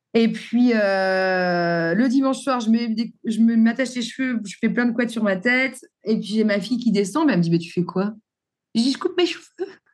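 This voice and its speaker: Speaking at a moderate pace, a woman has a fairly high pitch. Her voice is somewhat breathy, with lively intonation. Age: 40s. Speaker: entrepreneur, former hairdresser and wigmaker. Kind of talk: interview.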